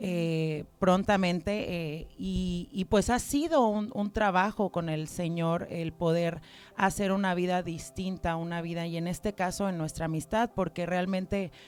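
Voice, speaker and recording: Over music in the background, a woman talks at a fairly slow pace with hardly any pauses, using a fairly low pitch and ordinary pitch variation. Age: 30s. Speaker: church member giving testimony. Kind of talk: testimony.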